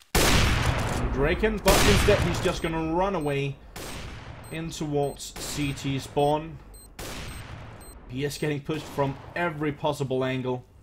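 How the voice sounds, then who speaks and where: There is noticeable background noise as a man speaks at a fairly slow pace, leaving long, frequent pauses. His pitch is fairly high, with ordinary variation. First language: not English (English is third language). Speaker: esports caster. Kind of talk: live commentary. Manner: animated.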